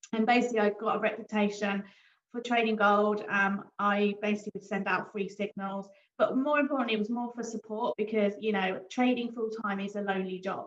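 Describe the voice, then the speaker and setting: A woman with a British accent speaks at a fairly quick pace, her fairly high pitch held in a fairly even intonation. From Britain. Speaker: forex trader and broker founder. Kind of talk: business presentation. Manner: casual, many fillers.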